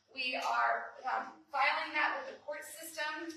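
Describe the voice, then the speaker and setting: A woman talks at a fairly slow pace, with audible room echo around her. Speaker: district attorney. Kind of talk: public presentation at town hall. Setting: town hall meeting with audience. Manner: many filler ums.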